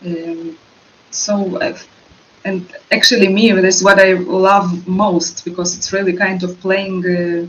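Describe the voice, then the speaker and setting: Speaking with a Russian accent at a fairly slow pace, the voice keeps fairly even intonation and leaves long, frequent pauses, with noticeable background noise behind it. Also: woman, medium pitch for a woman. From Russia, moved to Israel. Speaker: actress. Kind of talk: interview. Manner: halting, many fillers.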